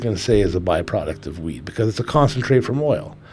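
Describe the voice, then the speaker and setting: A man's somewhat breathy, medium-pitched voice at a fairly quick pace, with very wide pitch swings. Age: 40s. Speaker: cannabis podcast co-host. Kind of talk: casual chat. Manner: relaxed, many fillers.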